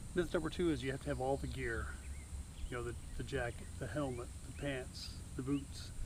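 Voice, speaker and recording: A man talks at a fairly quick pace while noticeable background noise plays. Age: 70s. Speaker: motorcycle camping vlogger. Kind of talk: casual vlog talk. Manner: relaxed, conversational with fillers.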